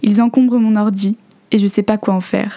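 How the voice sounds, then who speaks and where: The intonation stays fairly even, and the voice is somewhat breathy. Its tone is dark and mellow. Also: woman. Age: 20s. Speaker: podcaster. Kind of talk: reading aloud; scripted narration.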